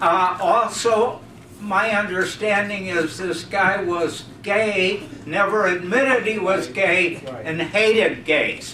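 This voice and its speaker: Against noticeable background noise and audible room echo, a man with a high pitch speaks very slowly in a raised, projected voice with ordinary pitch variation. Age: 80s+. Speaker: audience member at discussion club. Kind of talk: open-floor comment at a public meeting. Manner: halting, with many fillers.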